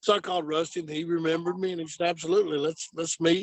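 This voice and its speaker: Talking at a very fast pace, a man with a high pitch keeps a monotone, flat intonation. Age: 50s. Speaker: former traveling salesman. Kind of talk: testimony.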